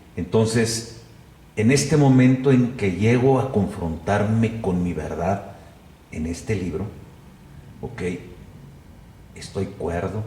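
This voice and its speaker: Very slow and full of long, frequent pauses, a man speaks at a fairly low pitch with ordinary pitch variation. Audible room echo surrounds the voice. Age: 60s. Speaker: journalist and photographer. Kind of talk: interview conversation.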